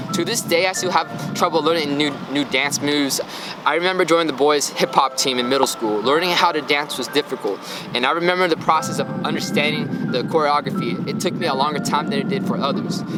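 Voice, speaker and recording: A man with an American accent speaks in a fairly high pitch at a very fast pace. Music plays in the background. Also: ordinary pitch variation. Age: 20s. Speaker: student athlete vlogger. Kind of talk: vlog narration.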